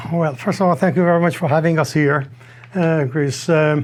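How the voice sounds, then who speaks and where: This man's voice sits fairly high in pitch. He speaks with a non-native accent. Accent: foreign. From Iran. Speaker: tableware importer. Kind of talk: interview answers. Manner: halting, hesitant.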